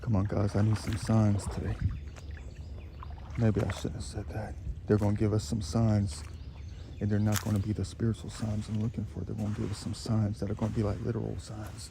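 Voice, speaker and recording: Pitched fairly low with ordinary pitch variation, a man talks at a fairly quick pace broken by long, frequent pauses, with noticeable background noise behind him. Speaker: outdoor treasure-hunting vlogger. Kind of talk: casual vlog narration.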